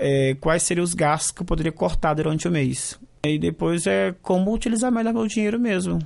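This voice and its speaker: A high-pitched man speaks with lively intonation and very even loudness. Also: moderate pace. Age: 30s. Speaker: graduate student. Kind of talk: vox pop interview.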